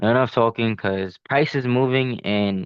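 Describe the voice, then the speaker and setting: A man with an ordinary speaking voice talks at medium pitch. His pitch variation is ordinary. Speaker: day trader vlogger. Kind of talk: casual trading vlog. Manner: filler-heavy, repetitive.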